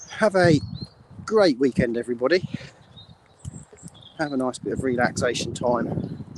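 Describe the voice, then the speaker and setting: Over noticeable background noise, a man with a medium-pitched voice speaks at a moderate pace with lively intonation and long, frequent pauses. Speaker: business owner. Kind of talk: live stream monologue. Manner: breathless.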